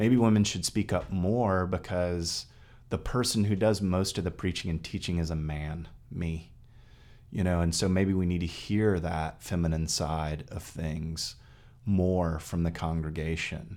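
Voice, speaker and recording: A man with a very deep, low pitch and an American accent, ordinary pitch variation, at a fairly slow pace. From Texas. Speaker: priest. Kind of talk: casual chat.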